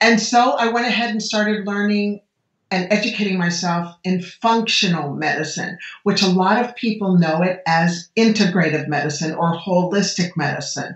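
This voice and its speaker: With an American accent, this speaker talks at a moderate pace in a somewhat breathy voice with ordinary pitch variation. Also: woman, medium pitch for a woman. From United States. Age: 60s. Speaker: medical doctor. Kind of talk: podcast interview.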